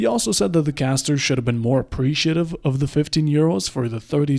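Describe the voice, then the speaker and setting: A man speaks in a normal speaking voice with a fairly high pitch and ordinary pitch variation. The recording is very clean, with a silent background. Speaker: esports caster and video creator. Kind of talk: scripted narration.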